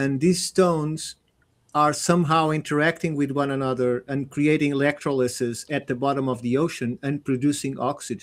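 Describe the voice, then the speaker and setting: Someone with a non-native accent speaks at a moderate pace and fairly even intonation. The recording is very clean and the background silent. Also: man, fairly high pitch for a man. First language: not English. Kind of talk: panel discussion. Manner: halting.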